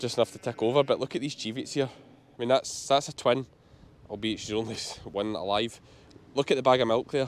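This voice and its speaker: A man speaks fairly quickly in a strong Scottish accent, at a medium pitch. His intonation is fairly even, though his loudness swings widely. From Scotland, Ayrshire. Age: 30s. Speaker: sheep farmer. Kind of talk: casual vlog commentary. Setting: outdoors.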